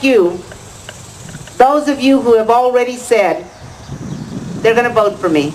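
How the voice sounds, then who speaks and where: Noticeable background noise and audible room echo accompany a woman speaking with an American accent. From West Texas. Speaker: political candidate. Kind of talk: campaign speech. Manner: impassioned.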